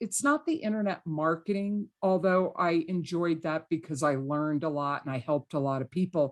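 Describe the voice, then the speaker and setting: A woman with an ordinary speaking voice, fairly low in pitch, at a moderate pace. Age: 60s. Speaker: real estate investing coach. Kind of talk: podcast interview.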